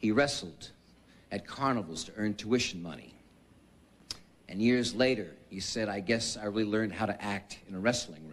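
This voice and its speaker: A man speaks at a moderate pace with long, frequent pauses. His fairly low voice shows ordinary pitch variation. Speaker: presenter. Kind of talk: formal tribute speech. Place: hall. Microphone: podium.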